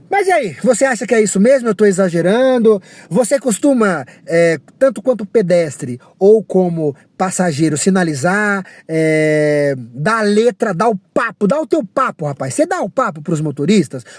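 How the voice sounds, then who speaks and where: High-pitched for a man, his voice moves through very wide pitch swings in an animated tone at a moderate pace. The sound is dry and close, with no echo. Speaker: rideshare driver vlogger. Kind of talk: casual rant monologue.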